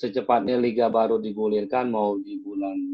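A man talks in a medium pitch. His intonation is flat and monotone. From Jakarta. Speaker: former professional footballer and coach. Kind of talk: casual interview.

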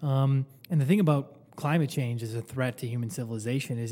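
Here is a man with an unremarkable speaking voice and an American accent. His pitch is fairly high with ordinary variation, and his pace is moderate. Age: 20s. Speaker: podcast co-host. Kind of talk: casual chat.

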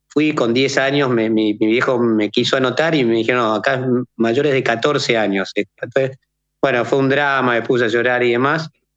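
A man talks at a moderate pace and medium pitch. His loudness stays very even. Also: fairly even intonation. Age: 40s. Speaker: ultrarunner. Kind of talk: interview. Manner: halting, with frequent repetitions.

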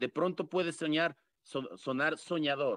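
Against a quiet background, a bright, sharp voice speaks at a fairly slow pace with ordinary pitch variation, the sound dry and close with no echo. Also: man. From Quito, Ecuador. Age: 30s. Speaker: mayoral hopeful. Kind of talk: political interview. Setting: online audio room.

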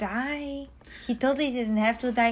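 A woman with a Polish accent is heard on a very clean recording with a silent background. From Poland. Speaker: host's partner. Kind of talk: casual chat.

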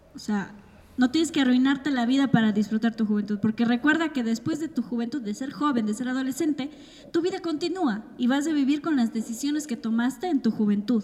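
Speaking at a fairly quick pace, a woman uses a high pitch and a dark, mellow tone with ordinary pitch variation. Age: 20s. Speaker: podcast co-host. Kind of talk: casual chat.

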